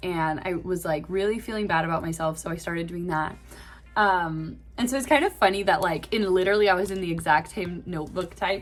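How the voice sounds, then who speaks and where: At a fairly quick pace, a woman speaks in a normal speaking voice. Her pitch is fairly low, with ordinary variation. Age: 20s. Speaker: classical singer and vlogger. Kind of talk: casual vlog monologue. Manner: casual with many filler words.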